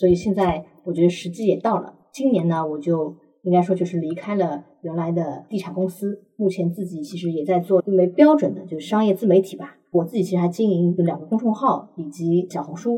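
A woman with a plain, everyday voice and fairly low pitch talks at a fairly quick pace with hardly any pauses and ordinary pitch variation. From Shanghai. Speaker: commercial real estate expert. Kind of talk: interview.

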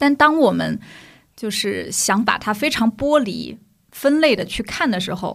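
A woman with a fairly high pitch and lively intonation talks at a fairly slow pace, with some vocal fry. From Shanghai (old Nanshi district). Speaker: community development worker. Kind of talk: casual chat.

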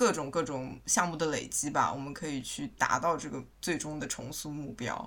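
Pitch variation is ordinary. There are hardly any pauses. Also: woman, very deep, low pitch for a woman, moderate pace. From Shanghai, China. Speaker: co-founder of a plant culture group. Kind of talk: casual interview chat.

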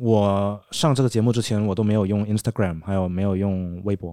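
A man's fairly low, dark, mellow voice at a moderate pace, with fairly even intonation and a very clean recording over a silent background. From Denmark, Chinese immigrant family. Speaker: former dating reality show contestant. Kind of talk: casual chat.

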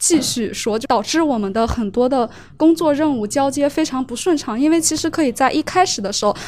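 Ordinary pitch variation at a fairly quick pace. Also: woman. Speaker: university student. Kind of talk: audience question at a salon. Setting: live salon with audience.

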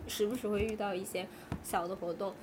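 Noticeable background noise behind a woman talking at a moderate pace. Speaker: podcast co-host. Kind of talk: casual chat.

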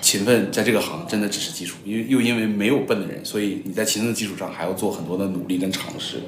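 At a very fast pace, a man speaks in a fairly low pitch. Noticeable background noise and audible room echo accompany him. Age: 30s. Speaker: corporate strategy executive, former venture capitalist. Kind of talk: casual interview chat.

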